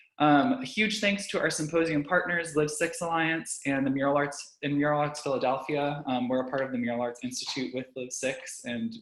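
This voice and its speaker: A man speaks in a fairly high pitch. Noticeable background noise can be heard. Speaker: arts organization programs manager. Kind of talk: webinar introduction. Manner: fast; frequent filler words.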